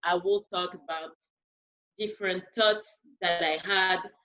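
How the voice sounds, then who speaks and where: Fairly even intonation from a woman, medium in pitch. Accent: strong French. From France. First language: French. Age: 30s. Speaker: dancer and podcast host. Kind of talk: panel discussion. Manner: loud.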